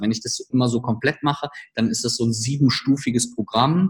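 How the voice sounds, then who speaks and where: A somewhat breathy man talks at a very fast pace, keeping a medium pitch and fairly even intonation. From Germany, village. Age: 30s. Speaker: startup coach. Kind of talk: podcast interview.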